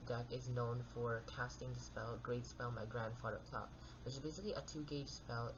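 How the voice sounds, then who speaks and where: A soft-spoken voice talks at a fairly quick pace. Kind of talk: card game deck profile talk. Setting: home recording with background noise.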